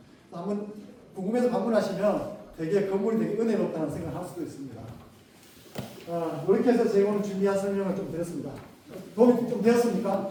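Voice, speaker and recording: Through audible room echo and noticeable background noise, a man with a high voice talks at a very fast pace, with long, frequent pauses, big swings in loudness and ordinary pitch variation. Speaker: lawyer at law firm presenting to residents. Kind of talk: public information session presentation. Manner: fast toward the end.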